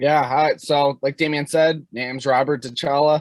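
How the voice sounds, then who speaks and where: A man in a Chicago accent, with a dry, close sound and no echo. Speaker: hockey and strength coach. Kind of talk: casual podcast interview.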